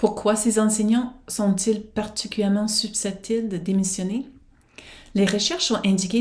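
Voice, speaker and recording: A woman speaks in an English accent with a dark, mellow tone. Her voice is somewhat breathy and her pace is very slow. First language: English (speaking French). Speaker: professor and researcher. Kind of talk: prerecorded conference presentation. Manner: formal.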